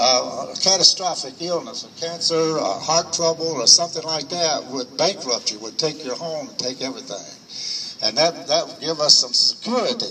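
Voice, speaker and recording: Speaking at a moderate pace with lively intonation and a fairly high pitch, a man's loudness swings widely over noticeable background noise. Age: 70s. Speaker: retired auto worker. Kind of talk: speech at a vigil. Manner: halting.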